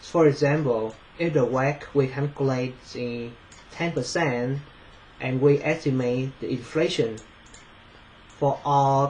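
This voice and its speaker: A man with a fairly high pitch speaks at a fairly slow pace with fairly even intonation. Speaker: finance student. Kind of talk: presentation. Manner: halting, many fillers.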